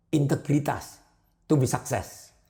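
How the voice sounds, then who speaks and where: A man's voice sits fairly high and sounds somewhat breathy. Its tone is dark and mellow. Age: 70s. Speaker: advertising business owner. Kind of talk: interview. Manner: animated.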